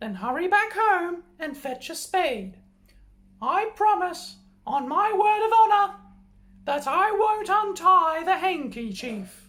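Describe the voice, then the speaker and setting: A man's squeaky put-on character voice at an extremely high pitch and a fairly slow pace. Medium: read story. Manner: crafty.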